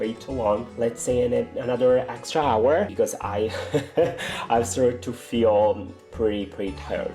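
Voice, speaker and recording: A man delivers his words at a moderate pace over background music. The pitch of his voice swings very widely. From Italy. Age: 20s. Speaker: indie game developer. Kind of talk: casual talk to camera.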